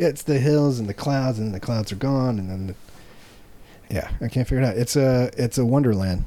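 Moving at a moderate pace with hardly any pauses, a man talks at medium pitch in a dark, mellow tone with ordinary pitch variation. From small-town America. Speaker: comedy podcast host. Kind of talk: casual chat.

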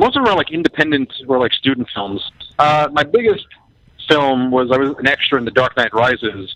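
Here a man speaks with a fairly high pitch. He goes at a fairly quick pace. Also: ordinary pitch variation. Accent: New York. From Queens, New York. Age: 20s. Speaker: actor. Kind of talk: casual chat.

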